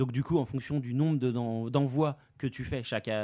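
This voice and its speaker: In a very clean recording with a silent background, a man speaks fairly quickly in a medium-pitched voice with a dark, mellow tone. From Paris region, France. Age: 30s. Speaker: manga industry worker and website owner. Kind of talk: casual chat.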